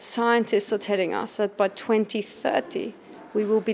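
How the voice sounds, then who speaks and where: At a fairly slow pace, a woman uses an unremarkable speaking voice at medium pitch. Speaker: campaign co-founder. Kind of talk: interview. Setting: busy event venue. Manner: assertive, rhetorical.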